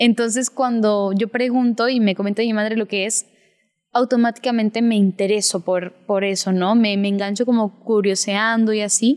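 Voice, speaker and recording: In a very clean recording with a silent background, a woman speaks at a moderate pace with a fairly high pitch and monotone, flat intonation. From Peru, with childhood in Spain and Sweden. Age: young. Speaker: actress. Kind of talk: interview.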